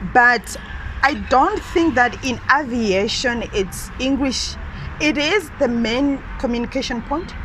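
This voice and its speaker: A high-pitched woman with a non-native accent and lively intonation at a very slow pace, amid audible room echo and noticeable background noise. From Malawi (Lilongwe). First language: not English. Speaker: trainee pilot. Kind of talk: interview. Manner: halting.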